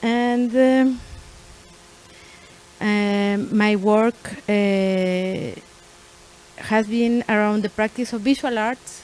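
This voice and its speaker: With a Spanish accent, a woman speaks very slowly at a fairly high pitch, leaving long, frequent pauses, her intonation fairly even over noticeable background noise. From Mexico, Nuevo León. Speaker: artist and art teacher, panel moderator. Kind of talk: panel moderation. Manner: halting, many fillers and restarts.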